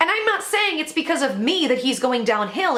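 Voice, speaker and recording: Against noticeable background noise, a woman with a high pitch talks very fast in a raised, projected voice. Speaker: YouTube commentator. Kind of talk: casual vlog commentary.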